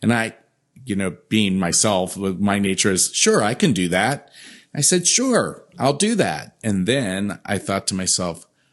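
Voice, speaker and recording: Speaking at a fairly slow pace, a man uses a normal speaking voice. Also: fairly low pitch for a man, ordinary pitch variation, quiet background. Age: 50s. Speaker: events company CEO. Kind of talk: interview.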